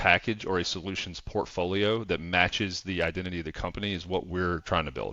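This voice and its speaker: Speaking at a moderate pace, a man with a Southern accent has a very deep, low pitch. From US South. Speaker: revenue operations consultant. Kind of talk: casual chat.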